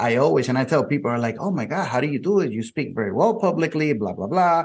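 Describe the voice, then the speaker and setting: Here a man talks with a Spanish accent at a fairly quick pace. His intonation is lively. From Puerto Rico. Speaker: podcast host and insurance keynote speaker. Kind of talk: interview.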